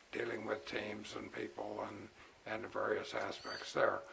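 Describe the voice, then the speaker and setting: Noticeable background noise sits behind a man speaking. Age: 70s. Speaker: retired engineer and retirement vlogger. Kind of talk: casual vlog monologue. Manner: halting, many fillers.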